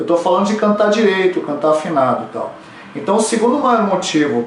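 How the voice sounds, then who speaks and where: Audible room echo and noticeable background noise surround a voice with ordinary pitch variation. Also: man. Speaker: vocal coach. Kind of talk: tutorial.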